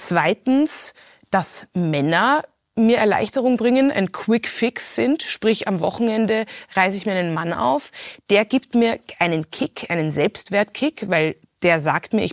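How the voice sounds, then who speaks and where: Recorded with a dry, close sound and no echo, a woman talks at a fairly slow pace, her medium pitch moving in very wide swings. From Hong Kong, then Austria from age 11. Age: 30s. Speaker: podcast host, artist and former journalist. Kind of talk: personal testimony in interview.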